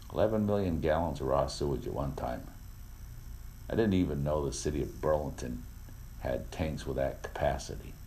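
Long, frequent pauses break up lively intonation at a moderate pace, with audible room echo. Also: man, very deep, low pitch for a man. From Vermont. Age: 50s. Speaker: radio host. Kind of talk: talk radio monologue. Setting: studio.

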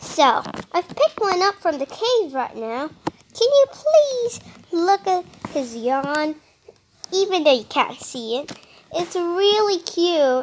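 Very slowly, a woman speaks at an extremely high pitch with very wide pitch swings. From Australia. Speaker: wildlife podcast host. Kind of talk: casual nature-show narration. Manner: animated.

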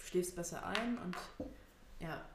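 Noticeable background noise and audible room echo surround a woman speaking at a fairly low pitch. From Thuringia, Germany (Erfurt). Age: 20s. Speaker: podcast co-host. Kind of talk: casual chat. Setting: home, at a table in the living room.

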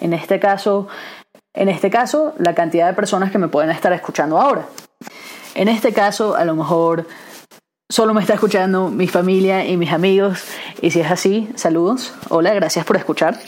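A woman speaks in an ordinary speaking voice at a medium pitch and a moderate pace. Her loudness stays very even, and her pitch varies in an ordinary way. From Venezuela, raised in Aberdeen, Scotland from age six. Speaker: podcast host and entrepreneur. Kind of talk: solo podcast monologue. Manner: casual with frequent fillers and restarts.

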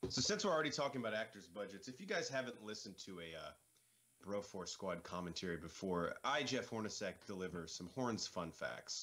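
A man's fairly low voice with lively intonation at a fairly quick pace. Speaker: podcast co-host. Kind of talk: casual movie commentary banter. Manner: joking, profane, animated.

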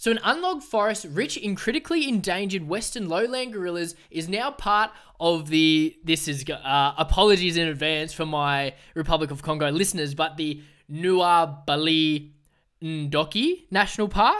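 High-pitched for a man, this Australian accent comes at a moderate pace with ordinary pitch variation in a very clean recording with a silent background. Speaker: environmental news podcaster. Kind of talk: solo podcast commentary. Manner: casual.

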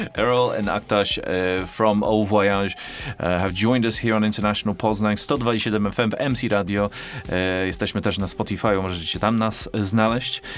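Noticeable background noise sits behind a man's voice. He speaks at a moderate pace in a fairly low pitch with monotone, flat intonation. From Australia. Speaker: radio host. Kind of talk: radio dj patter. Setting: studio.

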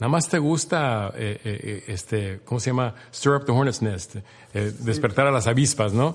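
This man's voice is medium in pitch and somewhat breathy, with ordinary pitch variation. He talks at a fairly slow pace. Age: 60s. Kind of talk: casual interview. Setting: clubhouse, shared single mic.

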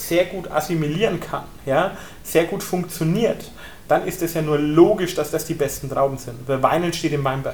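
With a Franconian accent, a man speaks at a high pitch in an animated tone. His pace is moderate with ordinary pitch variation, and there is noticeable background noise. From southern Franconia, Germany (Bullenheim). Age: 20s. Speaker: winemaker. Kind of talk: wine tasting talk.

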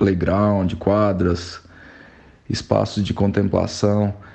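Fairly low in pitch, a man's voice carries a dark, mellow tone. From Brazil, Goiânia. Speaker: civil engineer and former skateboarder. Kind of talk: recorded message interview. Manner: halting.

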